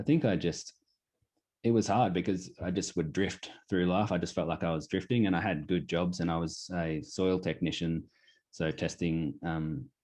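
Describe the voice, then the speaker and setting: With an Australian accent, a man speaks at a moderate pace in a very deep, low pitch with ordinary pitch variation against a quiet background. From Australia, Queensland (Pittsworth). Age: 20s. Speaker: clothing brand founder. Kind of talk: casual interview.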